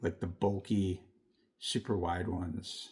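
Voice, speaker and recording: On a very clean recording with a silent background, a man speaks at a fairly low pitch with a dark, mellow tone and a somewhat breathy sound. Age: 70s. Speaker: diecast collector YouTuber. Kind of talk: casual show-and-tell vlog. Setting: dim room at home. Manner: casual, rambling with fillers.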